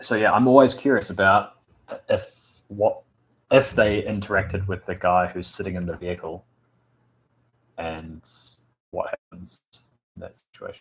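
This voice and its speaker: A man with a New Zealand accent, somewhat breathy, at a moderate pace, with big swings in loudness and long, frequent pauses. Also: fairly low pitch for a man, ordinary pitch variation. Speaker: tabletop RPG game master streamer. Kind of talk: casual live stream chat with viewers. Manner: halting, many fillers.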